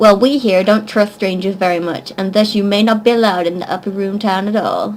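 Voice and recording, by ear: A woman puts on a gruff character voice at a medium pitch. She talks fairly quickly with fairly even intonation.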